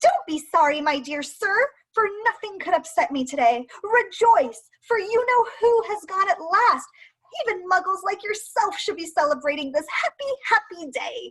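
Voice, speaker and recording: In a squeaky, put-on character voice, a woman talks at an extremely high pitch and a moderate pace. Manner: excited, joyful.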